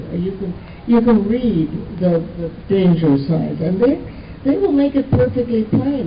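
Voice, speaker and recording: Amid noticeable background noise, a woman at medium pitch speaks at a fairly slow pace with very wide pitch swings. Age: 80s+. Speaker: actress and author. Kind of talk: interview answer.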